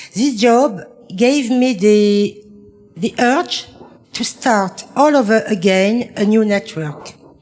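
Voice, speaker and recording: Very slow speech from a woman, fairly high in pitch, with noticeable background noise. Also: ordinary pitch variation. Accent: French. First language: French. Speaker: midwife. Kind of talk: reading aloud.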